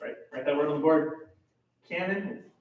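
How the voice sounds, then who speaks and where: A man speaks loudly, with audible room echo around him. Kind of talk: lecture.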